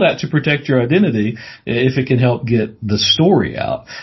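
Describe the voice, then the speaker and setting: This man has an American accent and a medium pitch. His voice is somewhat breathy. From US South, Mississippi. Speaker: paranormal TV producer, journalist. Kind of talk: casual interview.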